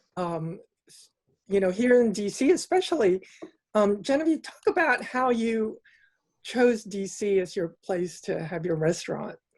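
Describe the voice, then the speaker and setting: A woman with an American accent, a normal speaking voice, at a moderate pace. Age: 60s. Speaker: interview host. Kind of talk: interview. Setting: video call.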